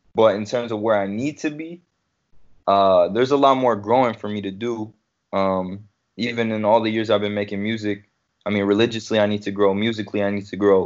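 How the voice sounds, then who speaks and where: A man with an American accent and an unremarkable speaking voice, fairly low in pitch, at a fairly quick pace. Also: fairly even intonation. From Detroit. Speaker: rapper. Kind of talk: casual chat.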